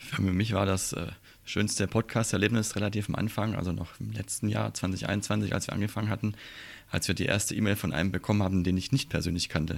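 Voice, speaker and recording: Speaking at a fairly quick pace, a man uses a fairly low pitch with vocal fry and fairly even intonation. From Swabia, Germany. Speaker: airline pilot and podcaster. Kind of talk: casual chat.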